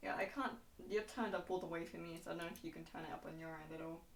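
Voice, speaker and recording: A woman's lively intonation in a room with audible echo. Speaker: vtuber streamer hosting a talk show. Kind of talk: casual interview chat. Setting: live stream, Discord call. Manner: loud.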